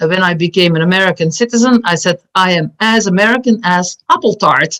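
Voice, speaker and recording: A woman with a Flemish accent at a medium pitch and a fairly quick pace, with ordinary pitch variation, very even loudness, and a dry, close sound with no echo. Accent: Belgian Dutch-speaker. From Belgium. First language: Dutch. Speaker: community nonprofit board member. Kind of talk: panel discussion.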